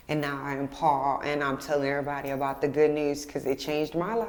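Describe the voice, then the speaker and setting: A woman's very deep, low-pitched voice amid noticeable background noise and audible room echo. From Texas, Houston area. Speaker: poet, faith testimony guest. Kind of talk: testimony.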